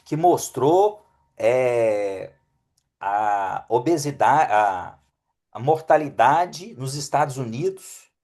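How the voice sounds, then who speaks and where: A man's fairly high voice with a Minas Gerais accent and lively intonation, over a quiet background. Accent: mineiro Brazilian Portuguese. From Brazil, Belo Horizonte (Minas Gerais). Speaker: physician (geriatrics, functional medicine). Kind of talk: webinar talk.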